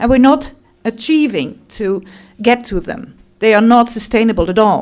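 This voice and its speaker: A woman with a Limburg accent speaks at a moderate pace in a fairly high pitch. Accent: Dutch (Limburg) accent in English. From Netherlands, Limburg. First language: Dutch. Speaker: tourism representative. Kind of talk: conference talk.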